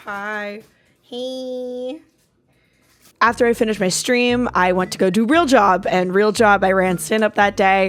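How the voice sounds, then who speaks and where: On a very clean recording with a silent background, a woman with fairly high pitch and an animated tone speaks at a fairly slow pace with ordinary pitch variation. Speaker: software engineer and streamer. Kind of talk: vlog narration. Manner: casual, animated.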